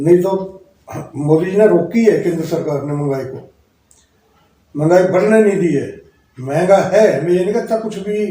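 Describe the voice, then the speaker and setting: A man speaks in a high pitch at a moderate pace with ordinary pitch variation. He leaves long, frequent pauses, and the room echo is audible. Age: 60s. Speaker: local party politician. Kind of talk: interview.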